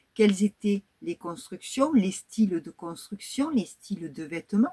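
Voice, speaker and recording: Somewhat breathy and dark, mellow in tone, a woman of medium pitch speaks at a fairly slow pace with lively intonation, the sound dry and close with no echo. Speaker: YouTuber, history and crafts channel. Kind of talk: casual vlog talk to viewers.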